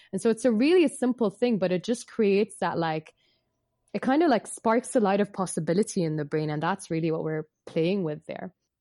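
Speaking at a fairly quick pace and medium pitch, a woman has a dark, mellow tone and lively intonation. The sound is dry and close with no echo, and the background is quiet. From Bahrain. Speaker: yoga teacher and psychotherapist. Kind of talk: interview.

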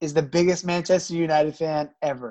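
In an American accent, a man speaks with a high pitch and fairly even intonation. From US South, Georgia. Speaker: podcast co-host. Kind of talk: casual chat.

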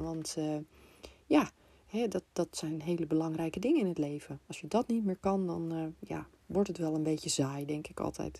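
A woman's very deep, low voice, dark and mellow in tone, on a very clean recording with a silent background. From Netherlands, Amsterdam. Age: 50s. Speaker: business coach. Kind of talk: podcast monologue. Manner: hesitant, many filler sounds.

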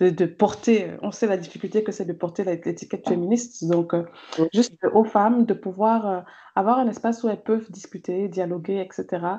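A woman's medium-pitched voice, dark and mellow, at a moderate pace with fairly even intonation. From Cameroon. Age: 30s. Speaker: gender and development consultant, feminist blogger. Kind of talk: interview conversation.

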